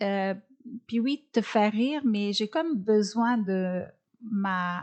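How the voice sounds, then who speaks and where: A woman speaks with fairly high pitch. Her pitch varies an ordinary amount. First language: not French (speaking French). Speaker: comedian and nutritionist. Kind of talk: interview. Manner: halting, many fillers.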